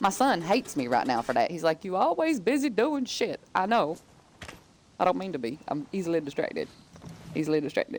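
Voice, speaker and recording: Using an animated tone in a Southern US accent, the speaker moves at a fairly quick pace with very wide pitch swings. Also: woman. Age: 30s. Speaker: gaming streamer. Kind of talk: casual chat. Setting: live stream.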